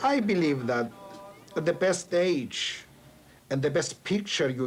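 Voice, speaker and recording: Against noticeable background noise, a man with a Greek accent speaks very slowly with lively intonation. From Cyprus. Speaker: poet. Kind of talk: interview.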